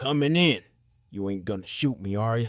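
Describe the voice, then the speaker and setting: Using a put-on character voice, a man speaks at a moderate pace and medium pitch, with lively intonation and big swings in loudness. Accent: Western US. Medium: read story.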